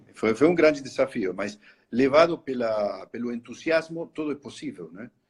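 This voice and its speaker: A man with a strong Spanish accent talks at a fairly slow pace. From Argentina, Buenos Aires. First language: Spanish (speaking Portuguese). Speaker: horror attraction entrepreneur. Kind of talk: interview in a live stream. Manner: halting.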